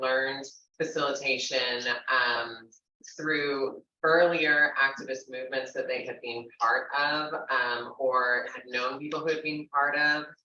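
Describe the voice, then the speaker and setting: Over audible room echo, a woman with a very deep, low pitch speaks at a fairly slow pace and with fairly even intonation. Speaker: panel speaker and historian. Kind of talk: panel talk to live audience. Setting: venue with live audience.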